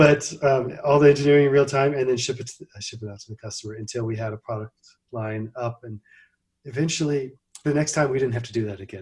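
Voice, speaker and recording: A very fast, somewhat breathy man's voice at medium pitch, with ordinary pitch variation. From US Midwest (Missouri, Ohio). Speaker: computer company founder. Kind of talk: interview. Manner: halting, many fillers.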